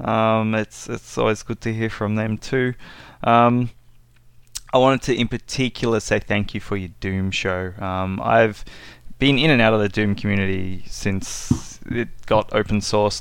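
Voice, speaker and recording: Moderate pace with an Australian accent. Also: man. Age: 30s. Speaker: listener leaving a voicemail. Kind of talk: voicemail message.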